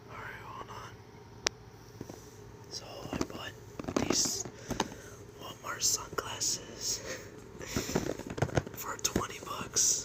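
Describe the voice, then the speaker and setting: Whispered words come at a very slow pace, broken by long, frequent pauses, while noticeable background noise sits behind them. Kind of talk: casual talk to camera. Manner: casual, rambling.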